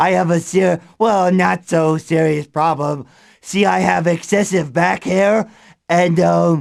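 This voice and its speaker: A man puts on a character voice at a high pitch. He speaks at a fairly slow pace. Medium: audio drama. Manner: nervous, giggly.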